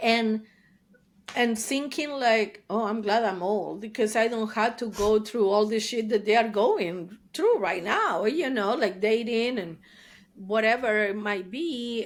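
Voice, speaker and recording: A woman speaking at a very slow pace, fairly high-pitched, with an Argentine accent. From Argentina, Buenos Aires. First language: Spanish. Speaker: therapist. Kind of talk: interview. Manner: animated.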